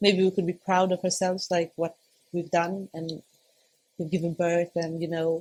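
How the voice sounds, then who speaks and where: With a non-native accent, a woman speaks at a fairly low pitch. Her intonation is flat and monotone, and her pace is moderate. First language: not English. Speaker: new mother sharing birth story. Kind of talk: casual interview. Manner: halting.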